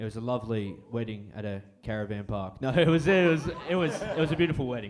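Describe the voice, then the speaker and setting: Amid audible room echo, a man with an Australian accent speaks with very wide pitch swings. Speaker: stand-up comedian. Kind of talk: stand-up. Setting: stage with audience. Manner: casual.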